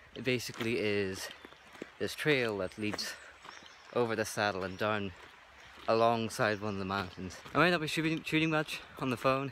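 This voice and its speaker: Over noticeable background noise, a man of medium pitch speaks at a moderate pace with lively intonation and long, frequent pauses. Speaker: vlogger, hobby photographer. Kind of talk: casual vlog. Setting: outdoors, hiking. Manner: mumbling; trying to articulate carefully.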